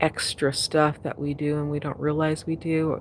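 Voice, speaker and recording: Her very deep, low voice carries monotone, flat intonation as this woman speaks. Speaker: spiritual coach livestreamer. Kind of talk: casual livestream chat. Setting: outdoors at sunset, livestream. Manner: slow; halting.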